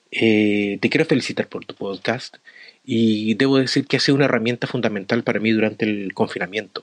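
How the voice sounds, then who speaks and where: A man with a Chilean accent, fairly low pitch, fairly quick pace and fairly even intonation, in a dry, close sound with no echo. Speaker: adult education teacher. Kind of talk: recorded voice message.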